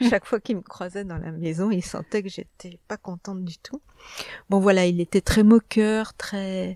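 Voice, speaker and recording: A woman speaks in a dark, mellow tone with fairly even intonation and big swings in loudness. The sound is dry and close with no echo, on a very clean recording with a silent background. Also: medium pitch for a woman, fairly slow pace. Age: 60s. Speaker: publisher. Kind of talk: interview.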